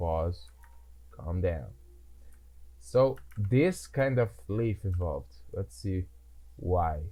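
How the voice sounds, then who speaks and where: Very slow and somewhat breathy, this voice has a dark, mellow tone, very wide pitch swings and long, frequent pauses. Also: man, very deep, low pitch for a man. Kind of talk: casual gameplay commentary.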